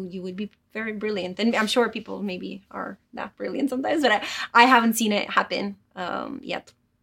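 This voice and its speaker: Talking at a fairly quick pace, a woman with a fairly high pitch shows vocal fry, ordinary pitch variation and big swings in loudness. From Romania. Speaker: lead game designer. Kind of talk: interview. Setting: studio. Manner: hesitant, many fillers.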